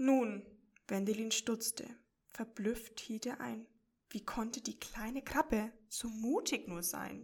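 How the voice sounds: Against a quiet background, the text comes in a natural reading voice.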